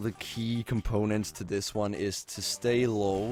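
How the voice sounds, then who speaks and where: Music plays in the background as a man speaks. His pitch is medium and his pace fairly slow. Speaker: game tutorial maker. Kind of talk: gameplay tutorial narration. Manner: mumbling, hesitant; flat, unenthusiastic.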